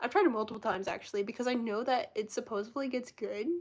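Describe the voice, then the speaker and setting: A woman's fairly high, squeaky voice is heard against a quiet background. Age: 20s. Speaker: live streamer. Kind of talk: casual chat. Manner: fast.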